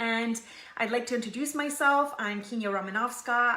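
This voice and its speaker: A woman speaks at a fairly quick pace in a fairly high pitch, with noticeable background noise and audible room echo. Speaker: online group founder and live show host. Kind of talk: live stream talk to audience. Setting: live video stream. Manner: fast.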